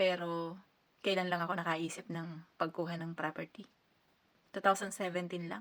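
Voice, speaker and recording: Speaking with a fairly low pitch, a woman keeps a moderate pace. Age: 30s. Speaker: overseas worker vlogger. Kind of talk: casual advice vlog.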